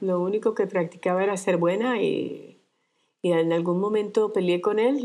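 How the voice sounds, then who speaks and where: Against a quiet background, a woman talks at a fairly slow pace with a medium pitch. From Colombia. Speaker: retired dentist, cancer survivor. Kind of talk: interview. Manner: halting.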